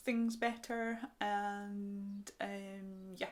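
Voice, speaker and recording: This woman is soft-spoken. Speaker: crochet podcaster. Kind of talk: casual chat. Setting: home recording. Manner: fast.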